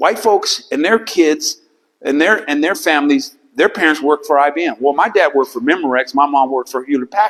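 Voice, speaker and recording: A man speaks in a normal speaking voice at a fairly high pitch. His pace is fairly quick, with ordinary pitch variation. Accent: American. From California, Silicon Valley. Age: 60s. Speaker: visual artist. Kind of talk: gallery talk to audience. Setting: art gallery with audience.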